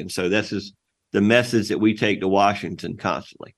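Against a quiet background, a normal speaking voice with an American accent talks at a moderate pace. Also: man. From eastern North Carolina. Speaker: farm organization president and farmer. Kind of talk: radio interview.

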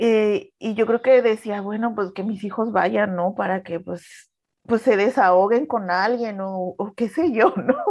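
A woman's plain, everyday voice, fairly high and fairly slow, over a quiet background. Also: ordinary pitch variation. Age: 30s. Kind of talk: personal testimony in casual chat.

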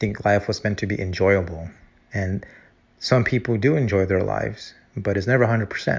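With vocal fry, a man of fairly low pitch talks at a fairly quick pace with ordinary pitch variation. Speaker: solo podcast host. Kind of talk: casual monologue. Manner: mellow, calm; halting with many fillers.

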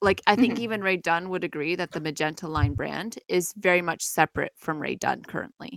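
Recorded very cleanly with a silent background and a dry, close sound with no echo, a woman with a Canadian accent speaks with vocal fry and ordinary pitch variation at a fairly quick pace with hardly any pauses. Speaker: podcast co-host. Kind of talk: casual chat.

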